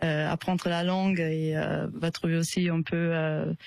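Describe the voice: A woman speaks at a fairly slow pace in a low voice with vocal fry and a slightly mellow tone. Her pitch shows little movement.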